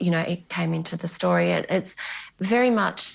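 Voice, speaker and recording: At a moderate pace, the voice carries an Australian accent. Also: woman. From Western Australia, Bunbury. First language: Greek. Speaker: novelist. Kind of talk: interview.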